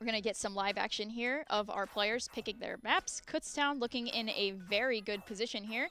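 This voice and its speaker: A woman with a fairly high voice and an animated tone talks with hardly any pauses. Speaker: esports caster. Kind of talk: live commentary. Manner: fast.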